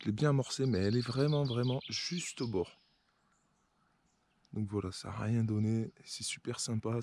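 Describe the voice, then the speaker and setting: This man talks at a moderate pace in a dark, mellow tone. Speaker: carp fishing vlogger. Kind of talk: casual vlog narration. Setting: outdoors by a lake. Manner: soft-spoken.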